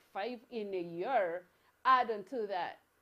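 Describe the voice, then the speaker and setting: Using ordinary pitch variation, a woman with an American accent speaks at a medium pitch. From Africa. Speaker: motivational show host. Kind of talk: motivational talk. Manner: halting, frequent fillers and restarts.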